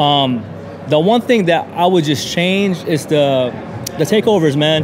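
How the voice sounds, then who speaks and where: A man with an American accent and a fairly high pitch speaks in a relaxed tone at a fairly slow pace, with lively intonation. His loudness stays very even, and background noise is noticeable. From Southern California (El Centro). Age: 30s. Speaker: car enthusiast. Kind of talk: casual interview. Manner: relaxed, many fillers.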